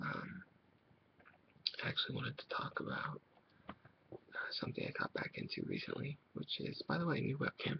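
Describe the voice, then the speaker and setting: A man whispering at a moderate pace in a relaxed tone, with long, frequent pauses. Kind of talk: casual talk to camera. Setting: webcam recording, compressed audio. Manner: soft-spoken, relaxed.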